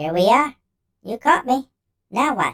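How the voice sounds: A man uses a put-on character voice pitched extremely high, with big pitch swings, vocal fry, a bright, sharp tone and a slow pace. The recording is very clean with a silent background and a dry, close sound with no echo.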